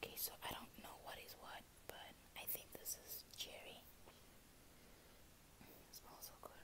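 Someone is whispering at a moderate pace. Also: woman. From South Africa. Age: 20s. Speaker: YouTuber, au pair. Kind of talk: casual talk to camera, ASMR unboxing. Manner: soft, quiet, hushed. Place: home room. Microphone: earbuds.

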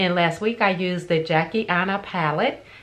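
A woman speaks in a plain, everyday voice, fairly low-pitched, with fairly even intonation at a moderate pace. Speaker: beauty vlogger. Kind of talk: casual vlog chat. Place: home room. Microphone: phone near.

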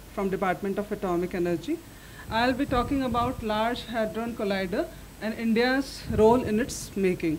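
Over slight background noise, a woman talks at a medium speed, her pitch varying a normal amount. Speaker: speaker. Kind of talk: lecture.

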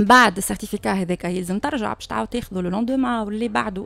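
A plain, everyday voice at a fairly quick pace, with a dry sound and no echo. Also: woman. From Tunisia. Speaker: lawyer. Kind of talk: studio panel discussion. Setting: radio studio. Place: studio. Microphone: studio mic.

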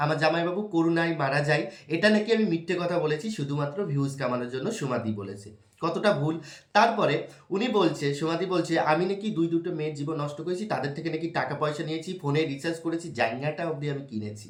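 A man talks with lively intonation at a fairly high pitch. Noticeable background noise and audible room echo fill the recording. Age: 20s. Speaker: YouTube vlogger. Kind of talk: direct-to-camera personal defense vlog. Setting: at home.

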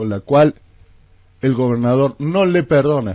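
Against a quiet background with a dry sound and no echo, a man talks at a fairly slow pace, his pitch swinging very widely. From Argentina, San Luis province (Villa Mercedes). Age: 60s. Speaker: politician. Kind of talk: radio interview. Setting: radio studio. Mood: critical, indignant. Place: studio. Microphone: studio mic.

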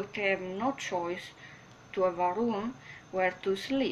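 Against light background noise, a woman with a strong non-native accent speaks at a fairly slow pace. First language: not English. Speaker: spiritual vlogger. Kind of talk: casual talk to camera. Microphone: webcam.

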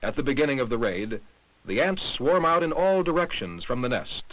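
The man's fairly high voice carries vocal fry and very wide pitch swings at a moderate pace. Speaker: documentary narrator. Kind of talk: vintage educational film narration, scripted and didactic. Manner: formal, measured, even-paced and authoritative; impersonal and didactic, like a 1960s science film.

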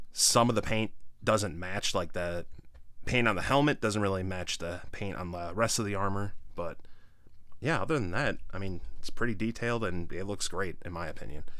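With an unremarkable speaking voice, a man talks at a moderate pace and a fairly low pitch with ordinary pitch variation, in dry sound with no echo and a quiet background. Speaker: toy reviewer. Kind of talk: casual product review commentary. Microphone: phone near.

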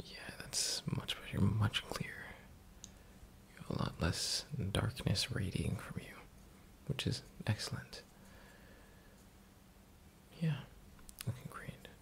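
A man whispers at a fairly slow pace, with big swings in loudness and long, frequent pauses. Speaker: roleplay host. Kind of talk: soft-spoken ASMR roleplay. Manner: soft, close ASMR murmur. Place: home room. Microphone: webcam.

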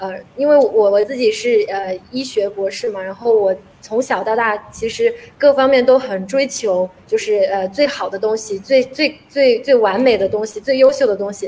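At a moderate pace, a woman speaks with fairly high pitch and ordinary pitch variation over light background noise. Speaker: guest. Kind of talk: panel discussion. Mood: reflective, self-examining.

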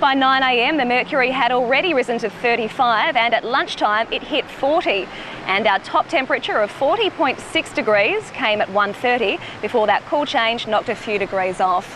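Over noticeable background noise, a woman speaks at a fairly slow pace in a high voice, the sound dry with no echo. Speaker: TV news reporter. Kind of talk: live news report. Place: beach.

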